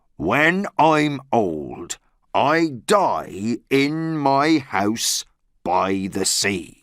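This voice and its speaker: On a very clean recording with a silent background, a man does a put-on character voice at medium pitch and a very slow pace. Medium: read story.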